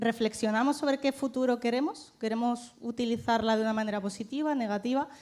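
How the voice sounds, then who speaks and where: This woman talks at a very fast pace. Her pitch is fairly high and her intonation fairly even. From Málaga, Andalusia, Spain. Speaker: startup CEO. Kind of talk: panel talk.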